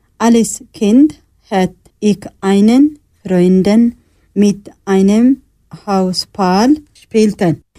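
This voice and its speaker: Speaking very slowly with long, frequent pauses, a woman with a non-native accent has a dark, mellow tone, medium pitch, ordinary pitch variation and very even loudness. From Eritrea. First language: not German (speaking German). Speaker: asylum seeker, radio workshop participant. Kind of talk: reading a prepared text.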